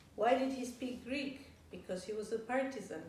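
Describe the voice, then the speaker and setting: Speaking at a moderate pace, a woman is heard with audible room echo and noticeable background noise. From Yugoslavia (Belgrade), also Francophone Africa. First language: Serbian. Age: 60s. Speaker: professor. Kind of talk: interview. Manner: hesitant, with fillers and restarts.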